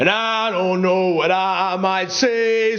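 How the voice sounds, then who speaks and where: A man speaks very slowly at a high pitch. His intonation stays fairly even amid noticeable background noise. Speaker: actor and performance poet; soldier character in a film. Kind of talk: performance poetry.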